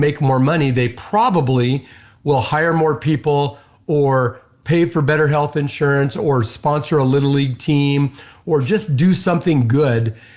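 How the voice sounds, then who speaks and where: Against a quiet background, a man with a normal speaking voice talks at a moderate pace and fairly high pitch, with ordinary pitch variation and very even loudness. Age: 60s. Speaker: business owner and CEO. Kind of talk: interview conversation.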